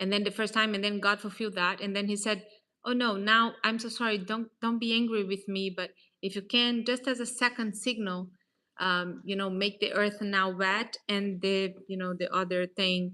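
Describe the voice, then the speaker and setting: In a Portuguese accent, the voice has a bright, sharp tone and a flat, monotone delivery at a moderate pace. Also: woman, medium pitch for a woman. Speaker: real estate advisor. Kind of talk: casual faith talk / motivational vlog. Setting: at a table, self-recorded. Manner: hesitant, many fillers.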